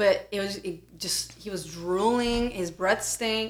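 With a normal speaking voice, a woman talks at a fairly slow pace and a fairly high pitch. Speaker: podcast co-host. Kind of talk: casual chat.

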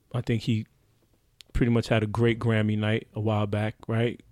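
In a New York accent, a man speaks at a moderate pace and fairly low pitch, flat and monotone, with long, frequent pauses and a dry, close sound with no echo. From Brooklyn, New York (Haitian family). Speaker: podcast host. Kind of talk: casual chat. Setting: studio.

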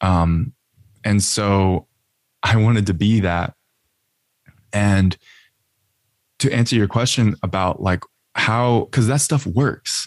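A man with an American accent speaks at a very slow pace, his fairly low voice held at a very even loudness. Long, frequent pauses break his speech, and the sound is dry and close with no echo, on a very clean recording with a silent background. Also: ordinary pitch variation. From Austin, Texas. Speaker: marketer, podcast host and musician. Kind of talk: casual interview chat.

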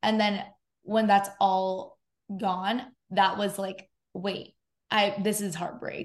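This woman has an American accent and a medium pitch, sounding somewhat breathy with monotone, flat intonation. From US West Coast, San Diego. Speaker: podcast host. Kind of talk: casual chat.

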